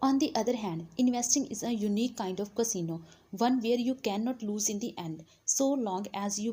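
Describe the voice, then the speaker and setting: The speaker has an Indian accent and a somewhat breathy voice. The pace is moderate, with ordinary pitch variation. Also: woman. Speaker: audiobook narrator. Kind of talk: audiobook reading.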